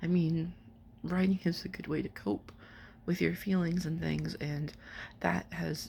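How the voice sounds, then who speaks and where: A woman speaks quietly at a moderate pace. She leaves long, frequent pauses. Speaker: writer and vlogger. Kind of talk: personal vlog update. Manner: halting.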